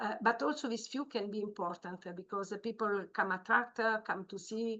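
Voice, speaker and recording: In an Italian accent, a woman speaks with a bright, sharp tone. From Italy. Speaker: marine biologist. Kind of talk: training webinar. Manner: halting, many fillers.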